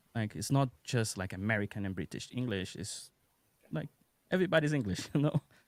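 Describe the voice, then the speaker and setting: Speaking with a Brazilian accent, a man has a fairly low pitch, very wide pitch swings and a fairly quick pace. The sound is dry and close with no echo, in a very clean recording with a silent background. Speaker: UX designer, content creator. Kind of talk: casual chat.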